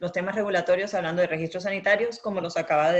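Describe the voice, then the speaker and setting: A woman speaks with a Latin American accent. Her pitch sits in the medium range, with ordinary variation. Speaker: intellectual property and regulatory consultant. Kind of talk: webinar presentation. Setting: online webinar.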